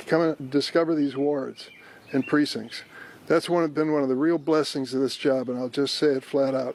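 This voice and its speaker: A man with an American accent, a fairly high pitch, flat monotone intonation and a moderate pace, over noticeable background noise. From East St. Louis, Illinois. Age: 80s+. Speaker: US senator. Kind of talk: press conference answers.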